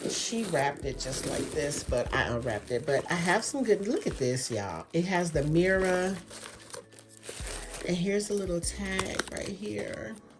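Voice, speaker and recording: A woman speaks at a fairly slow pace and a fairly low pitch, her pitch swinging very widely. Music plays in the background. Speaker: beauty and fashion vlogger. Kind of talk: unboxing haul video, casual talk to camera. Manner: animated, gushing.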